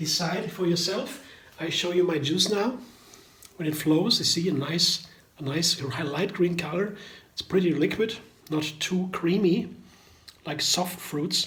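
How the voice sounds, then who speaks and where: With long, frequent pauses, a man speaks at a high pitch in a room with audible echo and noticeable background noise. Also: ordinary pitch variation. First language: German. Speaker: vegan cooking YouTuber. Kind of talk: casual tutorial. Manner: halting.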